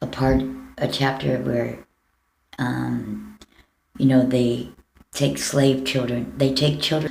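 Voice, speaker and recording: Audible room echo colors the speech of a woman with an American accent. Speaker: vlogger. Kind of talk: personal video appeal. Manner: halting.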